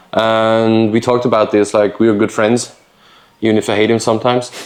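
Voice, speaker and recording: The man talks in a monotone, with flat intonation. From Austria. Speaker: knife maker. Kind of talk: casual interview chat. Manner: halting, many fillers.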